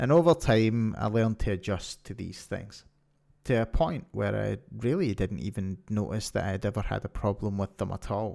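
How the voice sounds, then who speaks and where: The voice carries a Scottish accent and a dark, mellow tone. The recording is very clean, with a silent background. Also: man, fairly low pitch for a man, lively intonation, moderate pace. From Scotland. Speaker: podcast host. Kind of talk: podcast monologue.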